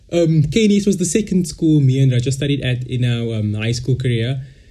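Audible room echo surrounds a man's somewhat breathy voice, dark and mellow in tone. He speaks at a moderate pace with ordinary pitch variation. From South Africa, Cape Town. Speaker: podcast co-host. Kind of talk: casual chat.

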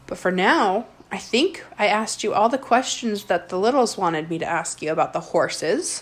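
At a moderate pace and with ordinary pitch variation, a woman talks in an ordinary speaking voice. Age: 20s. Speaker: podcast host interviewing her grandmother. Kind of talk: casual family chat. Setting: recorded at home with grandmother.

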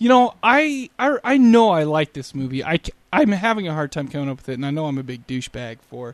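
Fast-ish speech from a man at fairly high pitch, with very wide pitch swings and big swings in loudness, dry and close with no echo, over a quiet background. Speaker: podcast co-host. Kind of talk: casual chat. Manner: animated.

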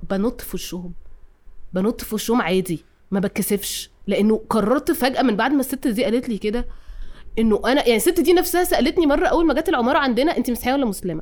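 A woman with a Cairo accent speaks at a high pitch. Her voice makes very wide pitch swings at a fairly quick pace. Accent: Cairene Egyptian Arabic. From Cairo, Egypt. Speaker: film director and artist. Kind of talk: casual chat.

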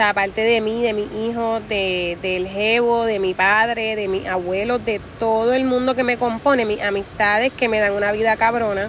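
The woman's voice is pitched fairly high. She talks rather slowly. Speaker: podcast host. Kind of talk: casual motivational monologue. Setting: outdoors at the beach. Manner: animated.

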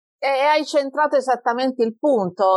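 A woman with a strong Apulian accent, in a dry, close sound with no echo against a quiet background. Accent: Taranto accent, kept strong. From Taranto, southern Italy. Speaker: computer scientist, researcher. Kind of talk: interview conversation.

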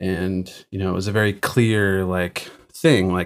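On a very clean recording with a silent background, a man with an American accent talks at a moderate pace in a very deep, low pitch with fairly even intonation. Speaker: recording engineer and drummer. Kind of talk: interview conversation.

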